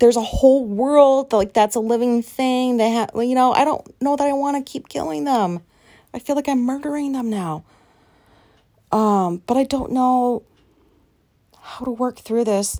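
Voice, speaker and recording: Loud and high-pitched, a woman speaks in a dark, mellow tone with long, frequent pauses. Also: ordinary pitch variation, moderate pace. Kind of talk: casual chat.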